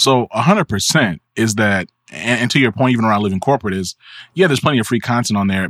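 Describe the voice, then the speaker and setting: On a very clean recording with a silent background, a man talks at a very fast pace in a medium pitch with ordinary pitch variation. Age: 30s. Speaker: media company founder and business consultant. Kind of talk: casual chat.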